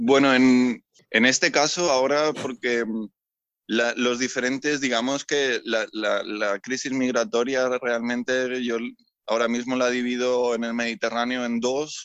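A man speaks at a fairly slow pace in a medium pitch. His intonation stays monotone and flat. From Spain, Mallorca. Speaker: sailor and rescue volunteer. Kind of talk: interview. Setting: on a ship in port. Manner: halting, many repeated words.

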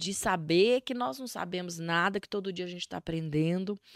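Music plays in the background as a woman speaks in a dry, close sound with no echo. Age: 40s. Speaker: life coach. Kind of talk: interview.

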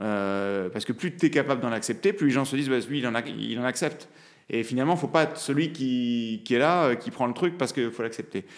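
Speaking in an ordinary speaking voice, a man at medium pitch moves at a fairly quick pace with lively intonation. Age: 30s. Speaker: lawyer and father. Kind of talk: casual interview. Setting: recorded at his law office.

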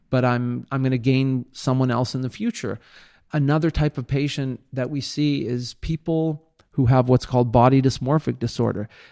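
A man's medium-pitched voice, dark and mellow, with fairly even intonation at a moderate pace, the sound dry and close with no echo. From Israel. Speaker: plastic surgeon. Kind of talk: interview. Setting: outdoors by the ocean.

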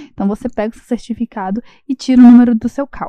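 A woman speaks very fast in a high, dark, mellow voice with fairly even intonation, the sound dry and close with no echo. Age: 20s. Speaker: architect. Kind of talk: recorded voice message.

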